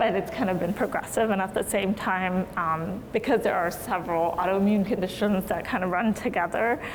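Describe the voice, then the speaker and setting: A woman with a General American accent speaks at medium pitch and a moderate pace, her loudness very even and intonation fairly even, with hardly any pauses, while noticeable background noise and audible room echo fill the recording. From Maryland, US. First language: Hindi. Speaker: physician. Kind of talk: lecture. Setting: lecture hall with audience.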